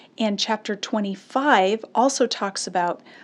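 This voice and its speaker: In an unremarkable speaking voice, a woman of medium pitch talks at a fairly slow pace with ordinary pitch variation on a very clean recording with a silent background. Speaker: Bible teacher, Old Testament scholar. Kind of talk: Bible study lecture to camera. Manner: clear, explanatory, conversational.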